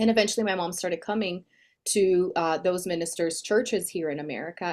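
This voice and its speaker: A woman with a Portuguese accent at a fairly quick pace, on a very clean recording with a silent background. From Brazil. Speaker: speaking coach. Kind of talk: interview.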